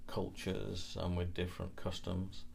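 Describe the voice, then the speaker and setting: In a Lancashire accent, a man speaks at a fairly slow pace with ordinary pitch variation. Audible room echo is present. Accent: northern English, Lancashire. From northwest England, Lancashire near Liverpool. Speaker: interviewee, British immigrant. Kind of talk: interview answers. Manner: hesitant, many fillers and restarts.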